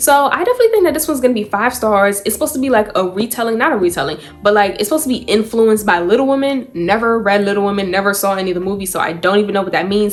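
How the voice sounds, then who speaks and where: Through noticeable background noise, a woman talks very fast at a fairly high pitch with ordinary pitch variation. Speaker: book reviewer. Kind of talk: casual vlog. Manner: animated.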